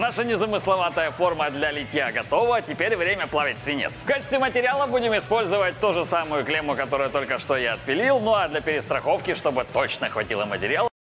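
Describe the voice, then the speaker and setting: A man talks at a very fast pace in a high pitch, with hardly any pauses. Faint music plays in the background. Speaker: workshop video host. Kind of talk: humorous tutorial narration. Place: workshop.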